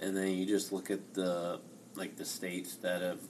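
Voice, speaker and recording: Audible room echo surrounds a man with a very deep, low voice. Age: 20s. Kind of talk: casual chat.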